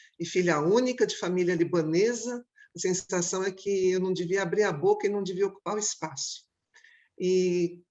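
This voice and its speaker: A woman's medium-pitched voice, with ordinary pitch variation, moves at a moderate speed. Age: 60s. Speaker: clown and theatre director. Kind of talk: panel discussion. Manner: halting.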